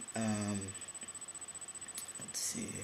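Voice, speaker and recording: Whispering, a man speaks amid noticeable background noise and audible room echo. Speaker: vlogger. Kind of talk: personal vlog update. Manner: hesitant, many fillers.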